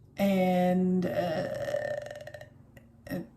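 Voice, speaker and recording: Soft-spoken, a woman talks with an American accent amid audible room echo. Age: 50s. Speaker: vlogger. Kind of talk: casual vlog. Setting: home office.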